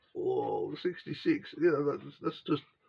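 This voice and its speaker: Speaking at a very slow pace, a man keeps a relaxed tone. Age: 60s. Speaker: model-kit hobbyist video host. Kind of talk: casual chat to camera. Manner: relaxed, hesitant with fillers.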